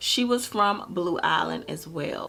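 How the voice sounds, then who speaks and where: A woman with a fairly high pitch and vocal fry talks at a fairly slow pace. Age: 20s. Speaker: true crime YouTuber. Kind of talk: true crime storytelling to camera.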